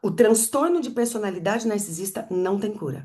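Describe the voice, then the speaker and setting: Over a quiet background, a somewhat breathy woman at a medium pitch makes very wide pitch swings. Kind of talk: teaching talk to live audience.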